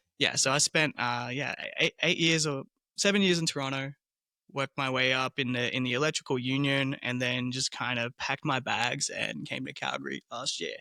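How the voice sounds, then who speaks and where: In an Australian accent, a man talks at a moderate pace with a medium pitch and a bright, sharp tone, the sound dry and close with no echo. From Australia, southeastern suburbs of Melbourne. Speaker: small business owner, tour operator. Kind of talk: casual interview.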